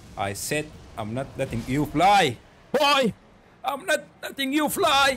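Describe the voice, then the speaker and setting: A man with a non-native accent talks at a very slow pace, with long, frequent pauses. His pitch is high and swings very widely. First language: not English. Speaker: gaming YouTuber. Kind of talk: gameplay commentary. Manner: animated.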